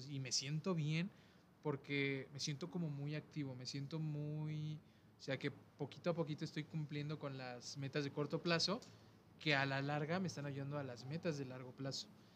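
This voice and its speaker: Speaking at a moderate pace with a Mexican accent, a man uses a fairly high, somewhat breathy voice and fairly even intonation. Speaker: podcast host. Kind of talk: casual chat.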